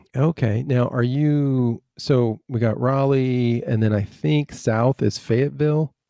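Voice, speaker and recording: The voice has a dark, mellow tone, a fairly slow pace, hardly any pauses, ordinary pitch variation and very even loudness. The background is quiet, and the sound is dry and close with no echo. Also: man, medium pitch for a man. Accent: American. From Michigan. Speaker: podcast host. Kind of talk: casual interview.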